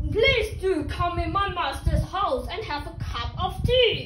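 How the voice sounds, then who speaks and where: Over clear background noise, a woman uses a put-on character voice, extremely high in pitch, confident in tone and fairly slow in pace. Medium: solo performance. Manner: confident, persuasive.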